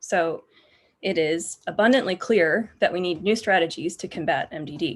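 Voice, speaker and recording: With an American accent, a woman with an unremarkable speaking voice talks at medium pitch with lively intonation over a quiet background. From United States. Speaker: postdoctoral researcher. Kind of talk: lecture.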